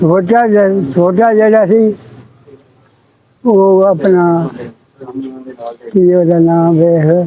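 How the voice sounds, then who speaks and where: A man with a high pitch speaks at a very even loudness. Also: ordinary pitch variation. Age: 80s+. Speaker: partition survivor. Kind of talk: interview answer.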